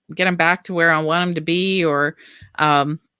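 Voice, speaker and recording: A woman with an American accent and an ordinary speaking voice talks at a moderate pace with a fairly low pitch, on a very clean recording with a silent background. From US, Baltimore, Maryland. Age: 60s. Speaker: author. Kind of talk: panel discussion.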